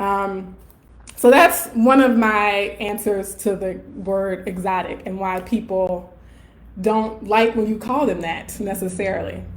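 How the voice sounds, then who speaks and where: With an American accent, a woman at medium pitch talks at a fairly slow pace, and room echo can be heard. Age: 30s. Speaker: colorism educator and professor. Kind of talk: live Q&A. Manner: casual, filler-heavy.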